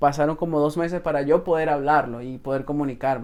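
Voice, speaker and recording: A man's plain, everyday voice, fairly high in pitch with fairly even intonation, at a moderate pace. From Venezuela. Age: 20s. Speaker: salesman. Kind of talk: podcast interview.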